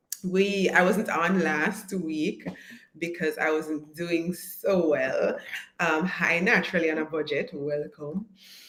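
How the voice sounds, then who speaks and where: Noticeable background noise surrounds a woman who speaks very slowly. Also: fairly low pitch for a woman. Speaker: online course coach. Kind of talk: live stream chat. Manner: animated.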